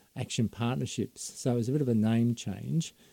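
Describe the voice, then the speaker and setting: A man speaks with an Australian accent at medium pitch, his tone dark and mellow. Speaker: former police officer, drug policy advocate. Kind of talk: radio interview. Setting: studio.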